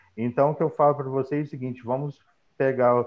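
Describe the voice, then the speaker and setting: A man with a medium-pitched voice talks at a very fast pace in a monotone, flat intonation. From Minas Gerais, Brazil. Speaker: accountant. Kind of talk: live stream panel talk.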